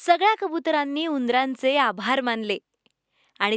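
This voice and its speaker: A woman speaks in a high pitch with very wide pitch swings. The sound is dry and close with no echo, on a very clean recording with a silent background. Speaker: voice-over artist. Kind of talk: children's story narration. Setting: studio.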